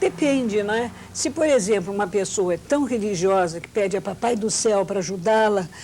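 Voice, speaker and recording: Against noticeable background noise, a woman talks at a moderate pace and medium pitch, with ordinary pitch variation and hardly any pauses. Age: 60s. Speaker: poet and author. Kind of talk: TV talk show interview answer.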